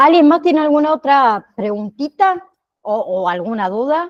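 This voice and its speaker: In a dry, close sound with no echo, a woman with a high pitch talks at a moderate pace, her pitch swinging very widely. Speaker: online course teacher. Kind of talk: online class. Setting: video call.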